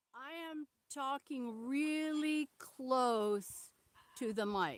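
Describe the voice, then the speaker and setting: A woman speaks at a very slow pace and a high pitch with ordinary pitch variation. The sound is dry and close, with no echo. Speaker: veterinarian and conservationist leading a tour. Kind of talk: live-stream tour. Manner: loud, almost yelling. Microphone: poor sound, some viewers cannot hear.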